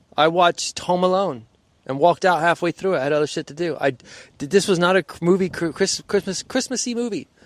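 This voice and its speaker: Speaking at a very fast pace, a man uses a high voice. The sound is dry and close, with no echo. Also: ordinary pitch variation. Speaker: podcast co-host. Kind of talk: casual chat. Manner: stuttering today.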